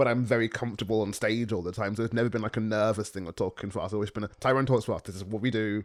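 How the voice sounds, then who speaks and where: The recording is very clean, with a silent background. The delivery is very fast and monotone, with flat intonation and hardly any pauses. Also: man, fairly low pitch for a man. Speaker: spoken word poet and podcast host. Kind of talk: casual chat.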